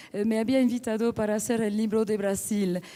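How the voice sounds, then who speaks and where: A woman with a strong non-native accent speaks with a fairly high pitch, a dark, mellow tone and monotone, flat intonation. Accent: strong foreign accent in Spanish. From France. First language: French (speaking Spanish). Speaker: book editor and art collector. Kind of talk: panel talk at book launch. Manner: halting, many fillers.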